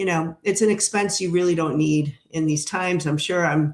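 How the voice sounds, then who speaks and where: A woman with an unremarkable speaking voice talks at a moderate pace, fairly low in pitch, with ordinary pitch variation. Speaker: tarot reader and live streamer. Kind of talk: casual live stream chat. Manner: conversational with many fillers.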